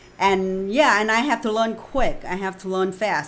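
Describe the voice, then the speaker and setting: Moderate-paced speech from a woman, with noticeable background noise behind her. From Vietnam. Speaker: author and speaker. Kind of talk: interview.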